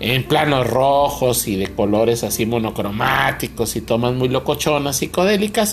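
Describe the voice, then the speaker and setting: Animated speech in a Mexican accent with lively intonation, a moderate pace and hardly any pauses, over music in the background. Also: man, medium pitch for a man. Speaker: podcast co-host, film reviewer. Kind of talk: casual comedic chat. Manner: animated, laughing.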